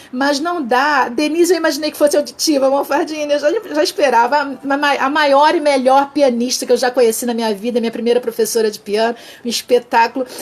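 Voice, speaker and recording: There is noticeable background noise as a woman speaks at a high pitch with ordinary pitch variation. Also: fairly quick pace. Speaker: communication trainer, live session host. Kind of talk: interactive mini-lecture on Instagram live. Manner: fast; halting, many false starts.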